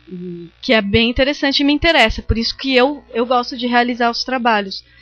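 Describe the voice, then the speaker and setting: A woman speaks in a high pitch as music plays in the background. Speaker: visual artist and lecturer. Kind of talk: lecture. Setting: seminar talk with audience. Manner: halting, many fillers.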